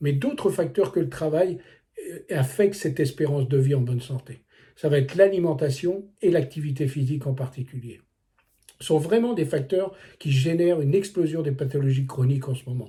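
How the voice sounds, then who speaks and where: A man speaks in a fairly high pitch with a somewhat breathy, dark, mellow tone and ordinary pitch variation. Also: moderate pace. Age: 60s. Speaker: wellness coach. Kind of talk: vlog monologue. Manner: casual, with many hesitations.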